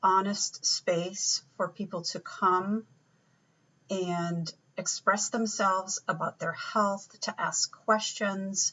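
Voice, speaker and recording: This woman talks at a very slow pace with a medium pitch. Her intonation stays monotone and flat. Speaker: naturopathic doctor. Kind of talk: casual self-introduction to camera. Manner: hesitant, many fillers.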